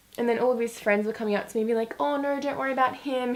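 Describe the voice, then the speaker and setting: A woman speaks at a very fast pace. Her pitch is fairly high, with ordinary variation. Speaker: beauty youtuber. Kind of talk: casual chat. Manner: animated.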